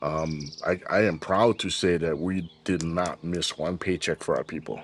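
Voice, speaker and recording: A man with a Hawaiian accent speaks at a fairly slow pace in a very deep, low voice with fairly even intonation. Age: 60s. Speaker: business founder. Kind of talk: interview.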